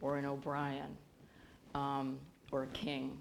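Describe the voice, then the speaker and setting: A woman speaks in a very deep, low voice. Room echo is audible. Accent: US Midwestern. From US Midwest, Bloomington, Illinois. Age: 60s. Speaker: professor. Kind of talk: interview on stage. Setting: auditorium stage with audience.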